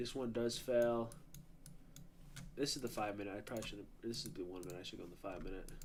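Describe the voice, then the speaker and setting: Speaking quietly at a very fast pace, this voice breaks into long, frequent pauses, has ordinary pitch variation and carries audible room echo. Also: man, medium pitch for a man. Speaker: day trader streaming live. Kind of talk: live trading stream with chat. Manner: casual, filler-heavy; a little quiet at first. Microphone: mic was a bit far away.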